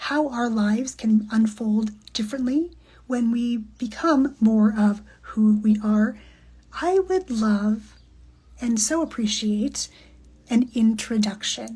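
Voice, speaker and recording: Somewhat breathy and fairly high in pitch, a woman speaks with a warm tone that is also dark and mellow, ordinary pitch variation, a very slow pace, and long, frequent pauses. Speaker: podcast guest, human design coach. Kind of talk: casual talk to camera. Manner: reflective, warm.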